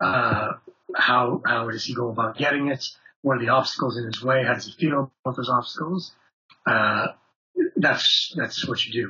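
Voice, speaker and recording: With long, frequent pauses, a man speaks at a moderate pace and with fairly even intonation. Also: medium pitch for a man. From Canada. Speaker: actor and voice actor. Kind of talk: interview.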